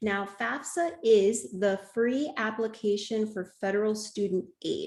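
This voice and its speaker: A woman's ordinary speaking voice at medium pitch, with ordinary pitch variation. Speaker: webinar presenter on college planning. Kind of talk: webinar presentation.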